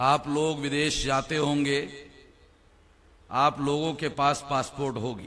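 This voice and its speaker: A man's fairly high pitch with monotone, flat intonation. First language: Marathi (speaking Hindi). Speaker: political speaker. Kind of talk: public speech.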